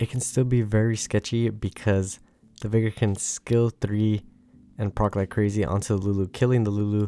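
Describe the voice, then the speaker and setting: With music in the background, a man speaks quietly at a fairly quick pace. His fairly low voice stays monotone, with flat intonation. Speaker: gaming YouTuber. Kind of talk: gameplay commentary. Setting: home recording at midnight. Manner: quiet, low volume.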